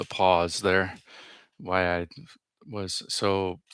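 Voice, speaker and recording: Over a silent background in a very clean recording, a man speaks in a very deep, low pitch with monotone, flat intonation. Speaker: vlogger. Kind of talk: casual monologue. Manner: fast; tense, halting.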